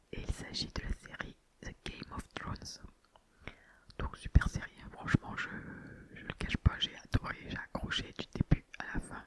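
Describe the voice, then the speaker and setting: Whispering at a fairly slow pace, a woman leaves long, frequent pauses, with big swings in loudness and noticeable background noise. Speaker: ASMR creator. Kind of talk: casual ASMR talk to viewers. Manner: whispered.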